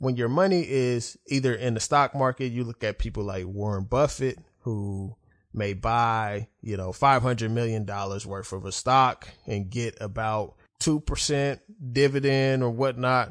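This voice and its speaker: Against a quiet background, a man with an American accent speaks at a fairly slow pace and medium pitch, with ordinary pitch variation and a normal speaking voice. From Oklahoma City, US. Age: 30s. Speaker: podcast host. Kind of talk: solo monologue podcast.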